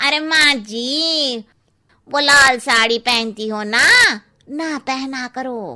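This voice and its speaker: A cartoonish character voice moves along at a very slow pace. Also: woman, high pitch for a woman. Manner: cheeky, blunt.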